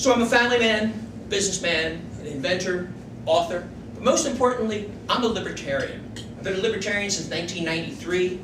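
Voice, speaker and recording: Over noticeable background noise and audible room echo, a man speaks very fast with a high pitch and lively intonation. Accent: American. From Philadelphia, Pennsylvania (North Philadelphia). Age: 60s. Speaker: political candidate. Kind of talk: stump speech.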